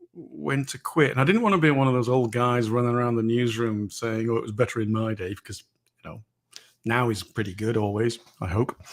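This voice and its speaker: A man with an English accent, at medium pitch and a moderate pace. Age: 60s. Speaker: author and former foreign correspondent. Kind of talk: interview.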